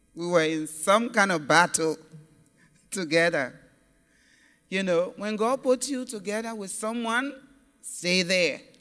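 Fairly slow speech with long, frequent pauses over music in the background. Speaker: evangelist. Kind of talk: sermon. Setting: church. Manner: exhorting.

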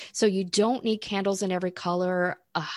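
A woman's unremarkable speaking voice, fairly low in pitch, with an American accent, at a fairly quick pace, dry and close with no echo, in a very clean recording over a silent background. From Florida. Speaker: spiritual coach and podcast co-host. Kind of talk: casual chat.

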